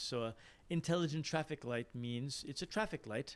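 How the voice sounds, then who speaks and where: This man has a normal speaking voice, pitched fairly high. He talks at a moderate pace with ordinary pitch variation. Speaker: academic questioner at a conference. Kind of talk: Q&A question after a talk.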